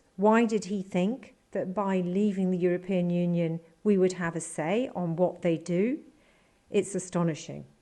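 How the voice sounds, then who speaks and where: A woman's medium-pitched, dark, mellow voice with a British accent, fairly slow in pace and fairly even in intonation. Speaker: political commentator. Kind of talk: political commentary.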